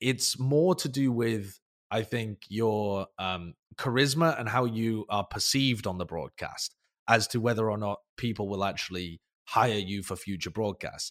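In a very clean, dry and close recording with a silent background and no echo, a man with a British accent speaks at a fairly slow pace, his fairly low pitch showing ordinary variation. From Britain. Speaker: esports caster and analyst. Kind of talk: casual interview chat.

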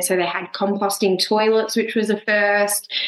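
A woman with an Australian accent, medium pitch and a monotone, flat intonation. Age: 20s. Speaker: full-time traveller. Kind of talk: casual interview.

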